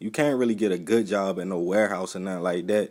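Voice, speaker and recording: On a very clean recording with a silent background, a man with an American accent speaks in a normal speaking voice, fairly low in pitch, at a fairly quick pace, with fairly even intonation. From Baltimore, Maryland. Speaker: YouTube reporter and videographer. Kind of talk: casual talk to camera.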